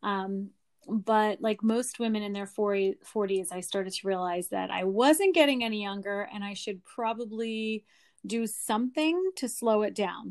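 An unremarkable speaking voice from a woman with an American accent, fairly high pitch, ordinary pitch variation and a moderate pace, over a quiet background. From Pennsylvania (Lancaster). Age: 40s. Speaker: schoolteacher and skincare business owner. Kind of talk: casual interview.

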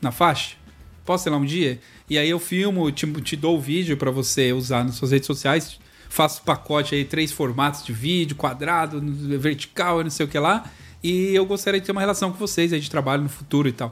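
A man with an unremarkable speaking voice, fairly high in pitch, at a fairly quick pace with ordinary pitch variation. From São Paulo east zone, Brazil. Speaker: video editor and podcast host. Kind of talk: casual chat. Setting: video call.

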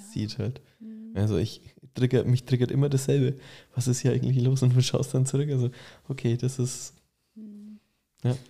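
A man speaks at a medium pitch with a dark, mellow, somewhat breathy tone and lively intonation. His loudness swings widely, and he takes long, frequent pauses. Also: moderate pace. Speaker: podcast host, furniture maker. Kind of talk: casual interview. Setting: studio, in person.

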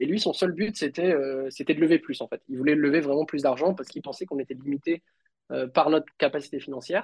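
A man speaks very fast at a fairly high pitch with ordinary variation, in a dry, close sound with no echo. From Réunion. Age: 30s. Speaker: software engineer and entrepreneur. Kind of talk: casual interview.

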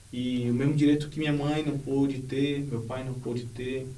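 The voice has a dark, mellow tone and is somewhat breathy, with audible room echo. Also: man. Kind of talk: interview.

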